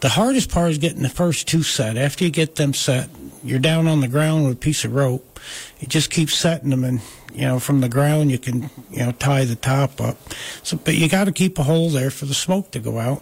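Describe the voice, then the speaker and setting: A man with a normal speaking voice and a fairly high pitch, in an American accent, at a moderate pace with ordinary pitch variation. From US Northeast, Catskills, Delaware County New York. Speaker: wood artist. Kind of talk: casual chat.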